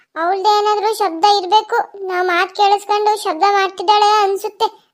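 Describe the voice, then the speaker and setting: A female-sounding, cartoonish character voice speaks at an extremely high pitch and fairly slow pace. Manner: brisk, talkative.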